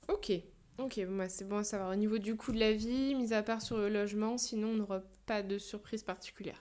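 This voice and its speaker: A woman's fairly high voice, monotone and flat, at a fairly quick pace. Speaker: podcast host. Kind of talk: podcast interview.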